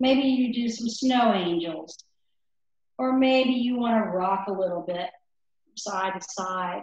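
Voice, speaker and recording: Her loudness swings widely as this woman speaks at a fairly slow pace. Her pitch is medium, with ordinary variation. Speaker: yoga instructor. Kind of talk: yoga class instruction; guided relaxation. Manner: soft-spoken.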